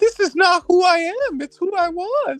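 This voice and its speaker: A woman puts on a squeaky character voice at a moderate pace, the sound dry and close with no echo and music in the background. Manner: boastful, tough.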